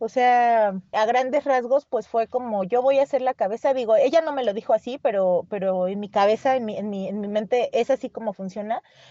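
With a dark, mellow tone and ordinary pitch variation, a woman speaks at a fairly high pitch in a dry, close sound with no echo. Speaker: writer. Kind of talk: interview. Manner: fast, many fillers and repetitions.

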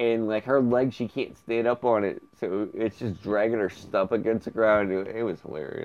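A normal speaking voice at a moderate pace, fairly even in intonation, with hardly any pauses. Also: man, medium pitch for a man. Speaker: podcast host. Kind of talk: casual comedic chat. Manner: joking, playful.

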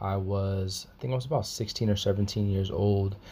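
A man's somewhat breathy, fairly low-pitched voice, dark and mellow in tone, at a moderate pace. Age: 20s. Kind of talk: personal testimony. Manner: halting, many fillers and repetitions.

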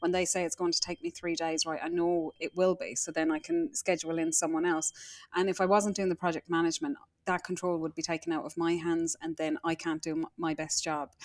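In a dry, close sound with no echo, a woman with an Irish accent talks at a fairly quick pace. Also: fairly low pitch for a woman. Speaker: interior designer. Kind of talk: casual interview. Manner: animated.

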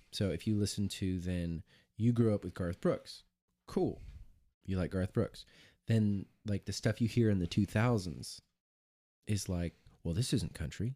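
A man's fairly low, dark, mellow voice with an American accent, ordinary pitch variation and long, frequent pauses, dry and close with no echo, on a very clean recording with a silent background. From US Midwest, Monmouth, Illinois. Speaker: podcast co-host, musician. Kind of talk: casual chat.

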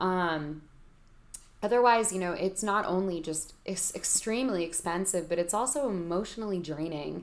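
A woman's medium-pitched, normal speaking voice, ordinary pitch variation, moderate speed. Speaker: lawyer, legal expert. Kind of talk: casual explanatory interview.

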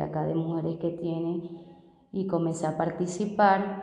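The speech is monotone and flat at a fairly slow pace, with noticeable background noise. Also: woman. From Venezuela. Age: 30s. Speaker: migrant street vendor. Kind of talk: testimony. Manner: halting.

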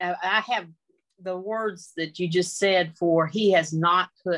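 A woman with a Southern US accent and fairly low pitch. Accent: Southern American. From US South (North Carolina). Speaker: Bible study participant. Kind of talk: Bible study discussion. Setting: video call. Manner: halting.

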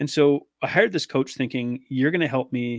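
A man with a Canadian accent, medium pitch and fairly even intonation, in a very clean recording over a silent background. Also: dry, close sound with no echo. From British Columbia, Canada. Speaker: weight loss coach. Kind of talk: interview.

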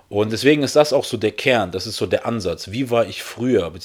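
At a moderate pace, the speech shows ordinary pitch variation in a very clean recording with a silent background. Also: man. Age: 30s. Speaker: podcast host. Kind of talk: solo podcast monologue. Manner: animated; halting.

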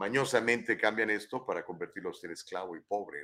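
A man's animated voice with a bright, sharp tone. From Mexico, San Luis Potosí (Huasteca). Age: 50s. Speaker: news talk show host. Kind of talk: live talk show with news commentary. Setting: studio, live stream.

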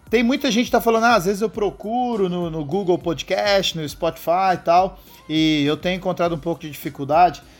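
A high-pitched man with lively intonation and an animated tone at a fairly quick pace, music in the background. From São José do Rio Preto, interior of São Paulo. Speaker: podcast host. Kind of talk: casual chat. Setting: outdoors on a rooftop. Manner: animated, slangy.

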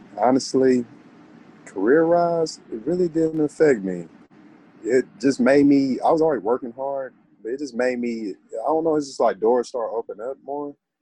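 A man with an American accent uses a normal speaking voice, fairly high in pitch. He talks at a moderate pace with ordinary pitch variation. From Texas, Dallas. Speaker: football player. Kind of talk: interview.

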